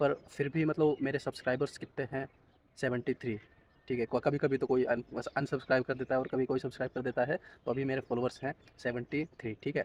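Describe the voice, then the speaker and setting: In a dry, close sound with no echo, a man talks at a medium pitch with monotone, flat intonation. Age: 20s. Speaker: vlogger. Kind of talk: casual vlog monologue. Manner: casual, conversational.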